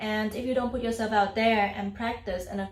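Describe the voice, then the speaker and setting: A woman is speaking. She has a slight non-native accent. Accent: near-native English. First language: non-native English speaker. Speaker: YouTuber, self-taught English learner. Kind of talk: casual talk to camera.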